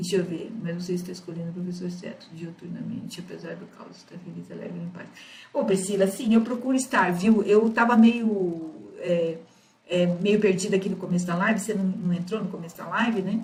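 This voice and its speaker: The loudness swings widely as the speech moves at a fairly quick pace. Room echo is clearly audible. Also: woman, medium pitch for a woman. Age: 60s. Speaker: astrology teacher. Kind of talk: live-streamed lecture with viewer Q&A. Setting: live stream. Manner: halting.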